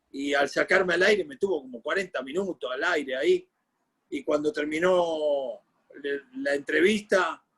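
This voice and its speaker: A man's high voice at a fairly slow pace, with ordinary pitch variation, big swings in loudness, and a dry, close sound with no echo. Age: 60s. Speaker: sports journalist and former football coach. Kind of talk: interview. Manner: animated.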